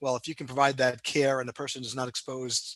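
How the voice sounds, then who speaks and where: A very fast-talking man with a New York accent, in a dry, close sound with no echo. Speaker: cardiologist, health system leader. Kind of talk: interview. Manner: many filler words (um, you know).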